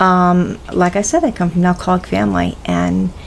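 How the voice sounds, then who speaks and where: A woman speaks at a fairly low pitch over noticeable background noise. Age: 60s. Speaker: YouTuber answering viewer questions. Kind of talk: casual Q&A vlog. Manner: halting, with many fillers.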